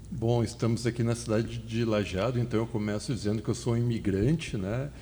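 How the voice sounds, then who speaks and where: Speaking at a fairly quick pace, a man with a dark, mellow tone and medium pitch uses vocal fry, keeping his loudness very even and his intonation fairly even. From southern Brazil, Porto Alegre. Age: 50s. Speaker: fertility doctor and medical lecturer. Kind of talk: podcast interview.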